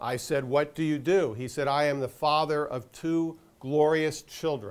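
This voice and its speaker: A man with a fairly high pitch and an unremarkable speaking voice talks at a fairly slow pace, his intonation fairly even. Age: 60s. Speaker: portfolio manager. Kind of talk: guest lecture.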